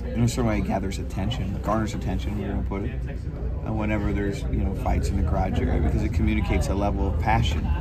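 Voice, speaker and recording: A man's voice under loud background noise. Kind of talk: interview answer. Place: garage. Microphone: handheld.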